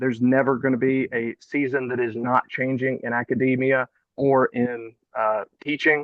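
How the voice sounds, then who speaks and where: A man speaks with a slight Southern US accent. His pitch sits in the medium range. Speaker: college chemistry professor. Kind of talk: panel discussion.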